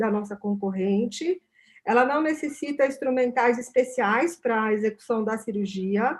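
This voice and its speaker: Speaking fairly slowly, a woman uses a high pitch with ordinary variation. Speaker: company representative. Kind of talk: product presentation.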